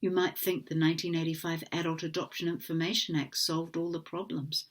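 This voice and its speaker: A woman's very deep, low voice in a New Zealand accent, in a very clean recording with a silent background. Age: 60s. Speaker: adoptee advocate. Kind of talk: formal testimony read from a prepared statement. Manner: formal.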